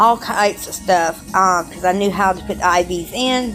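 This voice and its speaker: This woman speaks with an American accent at medium pitch. Music plays in the background. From Charleston, South Carolina. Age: 30s. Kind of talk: casual personal video diary.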